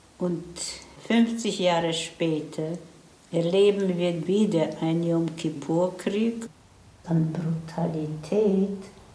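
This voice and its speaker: A woman speaks with a fairly low pitch and ordinary pitch variation. Room echo is audible, and background noise is noticeable. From Poland (Tomaszów near Łódź), later Israel. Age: 80s+. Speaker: Holocaust survivor. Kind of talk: testimony.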